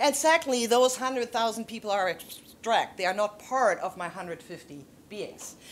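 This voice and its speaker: Speaking at a moderate pace, a woman with a German accent has a fairly high pitch, lively intonation and big swings in loudness. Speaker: theologian and panelist. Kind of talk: panel discussion. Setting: auditorium with audience. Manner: halting with frequent restarts.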